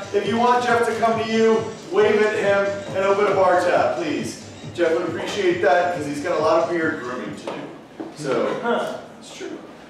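Music plays in the background as a man talks at a moderate pace amid strong room echo. His intonation is lively, and his loudness swings widely. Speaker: show host. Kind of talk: comedy show hosting to a live audience. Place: stage.

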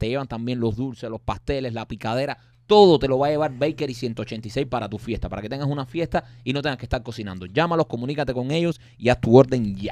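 A man talks at a fairly quick pace with ordinary pitch variation. The sound is dry with no echo, over a quiet background. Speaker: comedy podcast co-host. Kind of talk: casual comedic chat. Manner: animated. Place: studio. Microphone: studio mic.

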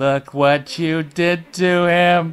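Over faint background music, a man uses a put-on character voice that is high-pitched and hissing. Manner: hissing, menacing.

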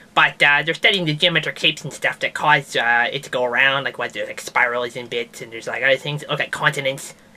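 A cartoonish character voice in a low-to-middle pitch rattles along at a very fast pace with hardly any pauses. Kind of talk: comedic science news show. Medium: puppet. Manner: rambling, hesitant, casual.

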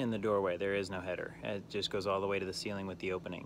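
A man speaks at a fairly low pitch. The sound is dry with no echo, with light background noise. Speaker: diy vlogger. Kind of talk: casual vlog chat. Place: garden. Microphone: phone near.

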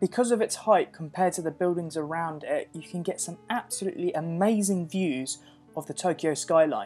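With music in the background, a woman with a fairly low pitch talks at a fairly quick pace in a relaxed tone, her pitch varying in an ordinary way. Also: big swings in loudness. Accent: British. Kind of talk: casual vlog narration. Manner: relaxed, chilled.

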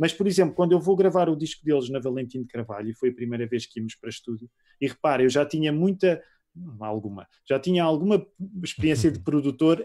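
A man's dark, mellow tone and lively intonation at a very fast pace, with a European Portuguese accent. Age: 40s. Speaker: pastor and musician. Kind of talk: casual interview.

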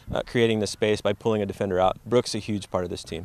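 Very fast in pace, a man talks at a fairly low pitch. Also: dry sound with no echo. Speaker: high school soccer coach. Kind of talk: interview. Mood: calm, appreciative. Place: open country.

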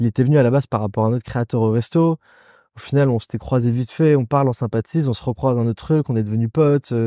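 Very fast, a man speaks in a dark, mellow tone with ordinary pitch variation, the sound dry and close with no echo. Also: medium pitch for a man, very clean recording, silent background. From Nice, southern France. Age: 30s. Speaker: entrepreneur, restaurant founder. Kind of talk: casual interview chat.

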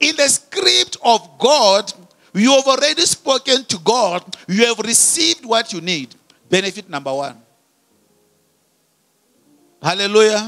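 Against a quiet background, a man speaks at a fairly slow pace. His pauses are long and frequent. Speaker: preacher. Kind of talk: sermon. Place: church. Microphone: handheld.

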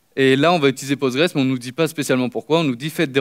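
Man's voice with fairly even intonation over a quiet background. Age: 20s. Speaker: master's student speaker; conference speaker. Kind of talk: conference talk. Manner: hesitant, many fillers. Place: stage.

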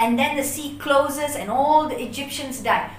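Light background noise and audible room echo surround a woman's high voice, moving at a moderate pace. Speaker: bible teacher. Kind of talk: sermon. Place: home room. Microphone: camera far.

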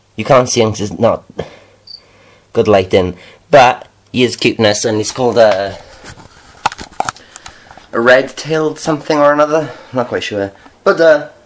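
Noticeable background noise sits behind a man speaking at a moderate pace. His intonation is lively, broken by long, frequent pauses. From Wales. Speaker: vlogger. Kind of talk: casual vlog talk to camera. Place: home room. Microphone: phone near.

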